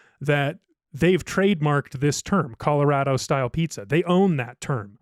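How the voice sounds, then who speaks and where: A man in an ordinary speaking voice at a fairly slow pace with ordinary pitch variation, recorded very cleanly against a silent background, the sound dry and close with no echo. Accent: American. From Ohio. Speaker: podcast producer. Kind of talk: casual chat. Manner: casual, filler-heavy.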